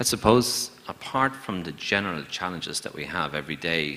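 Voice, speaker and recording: Over noticeable background noise, a man with an Irish accent speaks at a moderate pace. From Ireland. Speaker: banker. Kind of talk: panel discussion.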